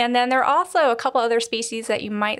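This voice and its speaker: A woman with an unremarkable speaking voice and fairly even intonation, on a very clean recording with a silent background. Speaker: museum collections manager. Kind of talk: casual interview, explanatory. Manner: conversational, uses fillers.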